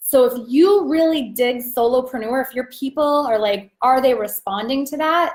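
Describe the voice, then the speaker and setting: A loud voice with ordinary pitch variation. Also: woman, very clean recording, silent background. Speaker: business coach. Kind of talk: live stream training. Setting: live video stream. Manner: animated.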